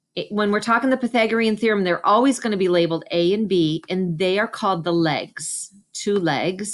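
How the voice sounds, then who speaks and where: Against a quiet background, a woman with an unremarkable speaking voice talks at a moderate pace and medium pitch, showing ordinary pitch variation. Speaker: special education math teacher. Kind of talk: tutorial. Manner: casual, conversational.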